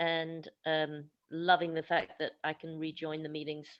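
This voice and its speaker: In a British accent, a woman with a fairly low voice speaks at a moderate pace. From UK. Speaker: special education teacher. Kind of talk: group discussion on video call. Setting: video call.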